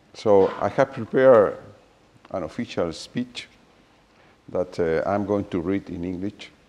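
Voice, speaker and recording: With a Spanish accent, a man speaks in a fairly low pitch and a dark, mellow tone, with ordinary pitch variation. His pace is fairly slow, broken by long, frequent pauses. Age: 60s. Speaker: mathematician. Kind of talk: reading a prepared speech.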